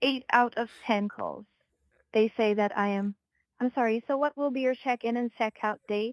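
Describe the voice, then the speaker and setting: A woman speaks with a Filipino accent at a moderate pace. Her intonation is fairly even. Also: fairly high pitch for a woman, dry, close sound with no echo. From Philippines. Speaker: hotel reservation agent. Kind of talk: customer service call. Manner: halting, robotic-sounding.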